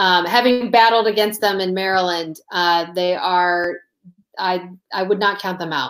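A woman with an American accent speaks in an ordinary speaking voice at a medium pitch. Her pace is fairly slow and her intonation fairly even. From US Midwest, Toledo Ohio. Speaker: sports betting industry advisor. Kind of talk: interview. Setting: livestream.

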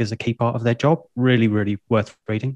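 With a British accent, a man talks at a fairly quick pace in a dry, close sound with no echo. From UK. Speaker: service designer and podcaster. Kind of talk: casual interview chat.

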